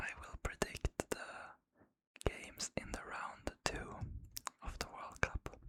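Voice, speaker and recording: The speaker whispers, moving at a very slow pace. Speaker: ASMR creator. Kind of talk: ASMR football predictions talk. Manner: whispered.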